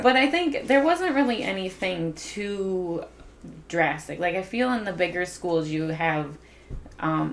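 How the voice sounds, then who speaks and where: With an American accent, a woman speaks at a fairly low pitch, fairly slowly and with lively intonation. Noticeable background noise runs behind her. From rural upstate New York. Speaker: parent and former school aide. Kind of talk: oral history interview answer.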